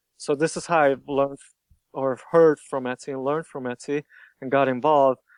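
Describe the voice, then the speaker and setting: In a Hungarian accent, a man speaks fairly quickly at a fairly high pitch with flat, monotone intonation and big swings in loudness, recorded dry and close with no echo against a quiet background. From Hungary. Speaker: shop owner, t-shirt designer. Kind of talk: interview. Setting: podcast interview.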